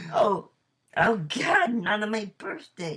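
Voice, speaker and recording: A man's put-on character voice, raspy and high-pitched, fairly slow, with very wide pitch swings. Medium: audio drama. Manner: goofy, brash.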